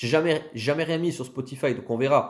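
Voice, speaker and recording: With an unremarkable speaking voice, a man talks at a fairly quick pace and with ordinary pitch variation. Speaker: content creator on Sicilian history. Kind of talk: casual channel presentation to camera. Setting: self-filmed video.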